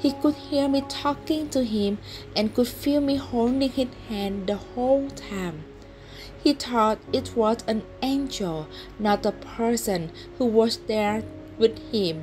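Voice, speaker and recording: With music in the background, the speaker uses a Vietnamese accent, a very slow pace and lively intonation. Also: woman, fairly high pitch for a woman. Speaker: non-native English learner reading stories aloud. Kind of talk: read short story.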